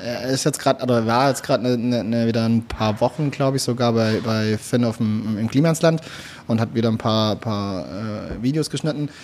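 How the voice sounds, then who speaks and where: Noticeable background noise behind a man at a moderate pace, medium in pitch and with ordinary pitch variation. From Swabia, southwestern Germany. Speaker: content creator. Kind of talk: casual chat. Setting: restaurant.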